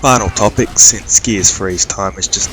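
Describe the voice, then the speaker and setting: A man with an Australian accent speaks at a moderate pace with a very deep, low pitch. Music plays in the background. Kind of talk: gameplay commentary. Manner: monotone.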